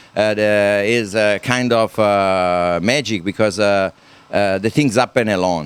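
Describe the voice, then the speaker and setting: A man speaks with an Italian accent. His pitch is fairly low and his loudness very even. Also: fairly even intonation, fairly slow pace. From Italy. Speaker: helicopter company owner and engineer. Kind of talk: interview. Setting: live at a hobby event. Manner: halting, many fillers.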